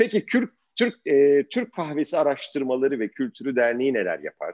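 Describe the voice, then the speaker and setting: Very wide pitch swings in a dry, close sound with no echo, over a quiet background. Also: man. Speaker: podcast host. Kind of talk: interview.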